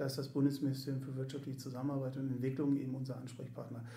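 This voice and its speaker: The voice is somewhat breathy, with a dark, mellow tone, and moves at a very fast pace. Room echo can be heard. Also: man. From Göttingen, Lower Saxony, Germany. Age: 40s. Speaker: sports club volunteer service manager. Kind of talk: casual interview. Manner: hesitant, many fillers.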